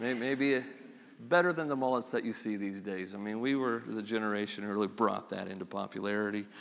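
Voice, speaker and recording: A man's voice with audible room echo. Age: 50s. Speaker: pastor. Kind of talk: sermon. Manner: halting.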